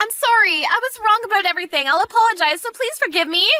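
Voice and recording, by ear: A woman speaks fast in a put-on character voice, extremely high-pitched, bright and sharp, with lively intonation and faint music in the background.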